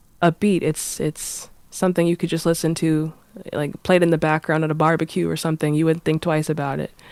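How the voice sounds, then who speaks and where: At a fairly quick pace, a woman speaks in a flat monotone with a very deep, low pitch. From Boston, Massachusetts. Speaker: singer-songwriter. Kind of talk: interview. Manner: halting.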